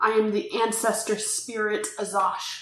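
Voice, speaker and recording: A woman performs a put-on character voice. A slight echo hangs on the recording. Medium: actual play. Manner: proud, easily angered.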